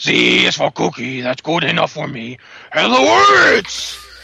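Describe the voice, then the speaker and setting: This man puts on a character voice and takes it at a fairly slow pace. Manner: metal-style growl.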